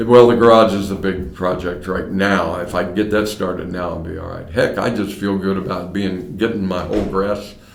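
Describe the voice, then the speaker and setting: Someone with an American accent speaks at a moderate pace with fairly even intonation and hardly any pauses, over noticeable background noise. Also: man, very deep, low pitch for a man. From US Midwest, Mason, Ohio. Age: 70s. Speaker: retiring county court clerk, former radio personality. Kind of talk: oral history interview.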